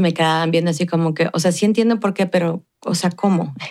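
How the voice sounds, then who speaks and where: A woman's fairly low voice at a very fast pace. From Ciudad Juárez, Mexico. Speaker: consulate cultural worker and Pilates instructor. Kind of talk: interview.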